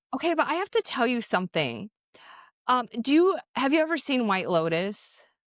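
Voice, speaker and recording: The voice is loud, with very wide pitch swings at a moderate pace. The sound is dry and close with no echo, in a very clean recording with a silent background. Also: woman, high pitch for a woman. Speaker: podcast co-host. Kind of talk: casual chat.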